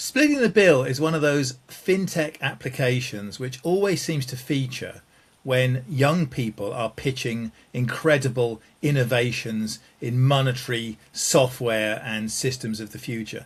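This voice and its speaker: A man with a medium pitch speaks somewhat breathily, with ordinary pitch variation and big swings in loudness. The recording is very clean, with a silent background. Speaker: game show panelist. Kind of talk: timed improvised monologue. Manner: fluent, fast.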